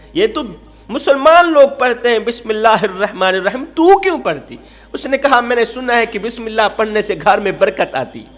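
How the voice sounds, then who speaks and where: Music plays in the background beneath speech with lively intonation. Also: man, extremely high pitch for a man. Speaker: Islamic preacher. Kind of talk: Islamic sermon (bayan) telling a moral story.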